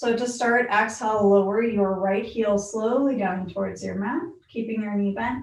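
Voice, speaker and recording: A woman speaks at a fairly high pitch. The room echo is audible. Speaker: yoga instructor. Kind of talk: guided yoga class. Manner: calm, instructive.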